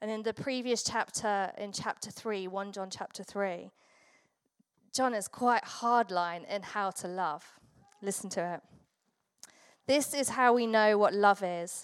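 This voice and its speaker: Speaking at a fairly slow pace with long, frequent pauses, a woman with an English accent uses a medium pitch and ordinary pitch variation. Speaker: pastor. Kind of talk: sermon. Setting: church.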